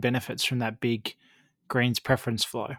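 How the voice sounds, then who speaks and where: An Australian-accented man at a very fast pace, on a very clean recording with a silent background. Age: 30s. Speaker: podcast host and election analyst. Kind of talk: interview.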